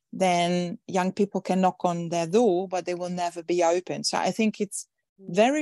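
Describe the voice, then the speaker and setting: Dark, mellow tone in a woman's fairly low-pitched voice. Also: dry, close sound with no echo, quiet background. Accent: Dutch. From Netherlands. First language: Dutch. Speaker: events industry founder and speaker. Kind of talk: interview. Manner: halting, many fillers and repetitions.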